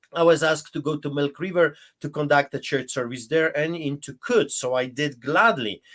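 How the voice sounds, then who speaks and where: A man with a Polish accent and fairly high pitch, moderate pace and hardly any pauses, on a very clean recording with a silent background. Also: ordinary pitch variation. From Poland. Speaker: pastor. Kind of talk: interview testimony. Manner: animated.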